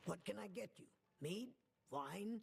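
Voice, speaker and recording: A man's high-pitched, put-on character voice. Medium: video game. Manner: brusque, businesslike.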